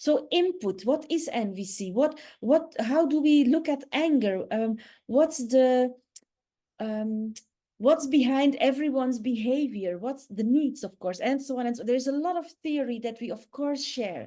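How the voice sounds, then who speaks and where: A woman speaks at a fairly slow pace with lively intonation. Her voice is high-pitched, with a dark, mellow tone. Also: quiet background. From Netherlands or Belgium (Dutch-speaking). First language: Dutch. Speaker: communication trainer. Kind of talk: online workshop talk. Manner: halting, searching for English words.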